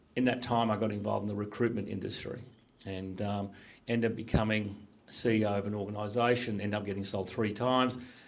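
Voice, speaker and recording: Audible room echo follows a man who rushes at a very fast pace with a fairly low pitch and a monotone, flat intonation. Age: 60s. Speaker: business executive. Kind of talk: career talk to students. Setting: school panel with audience.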